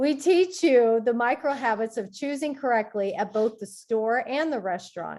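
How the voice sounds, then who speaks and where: With hardly any pauses, a woman speaks in a high pitch on a very clean recording with a silent background. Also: lively intonation, moderate pace. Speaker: health coach. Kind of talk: reading aloud.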